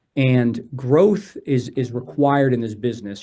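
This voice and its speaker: A man's voice sits at a medium pitch with a dark, mellow tone. His pitch variation is ordinary. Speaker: personal injury attorney, law firm co-founder. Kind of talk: podcast interview. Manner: direct.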